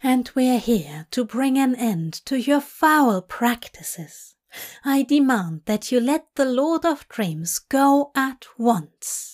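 This put-on character voice moves at a slow pace, slightly mellow in tone, with lively intonation. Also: woman, high pitch for a woman.

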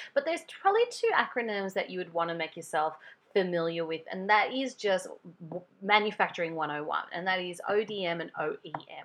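An Australian woman's animated voice at a medium pitch, with ordinary pitch variation. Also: moderate pace. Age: 40s. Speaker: podcast host and beauty business owner. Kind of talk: casual solo podcast monologue. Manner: animated, chatty.

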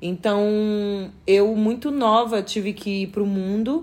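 The pitch is in the medium range. The speaker is a woman. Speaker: podcaster. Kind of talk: casual chat. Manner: projected, firm tone; not loud.

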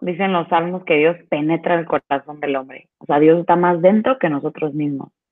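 The voice moves at a moderate pace with hardly any pauses, ordinary pitch variation and big swings in loudness. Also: woman. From Veracruz, Mexico. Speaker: Theology of the Body speaker. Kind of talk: casual interview. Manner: animated.

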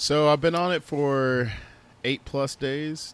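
Speaking at a fairly slow pace, a man with a fairly high pitch uses a normal speaking voice with ordinary pitch variation. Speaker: podcast co-host. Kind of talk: casual chat.

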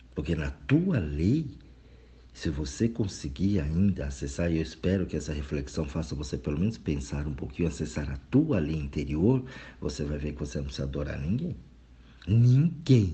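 A man's very deep, low voice with vocal fry. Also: lively intonation, moderate pace. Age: 40s. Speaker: spiritual reflection speaker. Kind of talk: recorded monologue reflection. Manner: casual, conversational.

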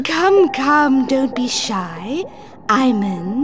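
A woman speaks at a high pitch. Background noise is clearly audible. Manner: coaxing, sly, purring.

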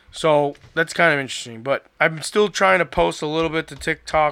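With an American accent, a man speaks at a moderate pace in a fairly high pitch, a bright, sharp tone and fairly even intonation, in a very clean recording with a silent background. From Florida. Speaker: podcast host. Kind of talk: casual chat.

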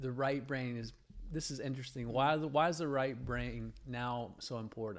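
A man with a fairly high pitch and a plain, everyday voice. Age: 50s. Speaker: podcast co-host, father. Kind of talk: casual chat. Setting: home studio.

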